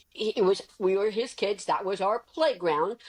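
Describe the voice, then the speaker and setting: Using lively intonation and a fairly high pitch, a woman speaks at a moderate pace in a dry, close sound with no echo. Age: 60s. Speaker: drone business owner. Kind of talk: podcast interview. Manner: animated.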